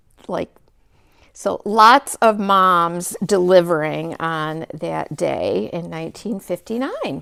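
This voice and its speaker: A woman at a very slow pace with big swings in loudness. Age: 60s. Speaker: craft video host. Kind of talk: casual chat.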